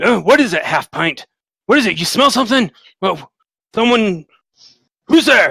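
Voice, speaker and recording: A man puts on a character voice at an extremely high pitch. He leaves long, frequent pauses. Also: moderate pace. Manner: suspicious, questioning.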